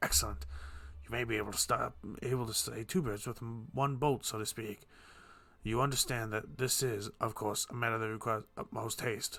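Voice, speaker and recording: Putting on a raspy character voice, a man speaks at a moderate pace with a medium pitch and ordinary pitch variation. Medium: read story. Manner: brisk, authoritative.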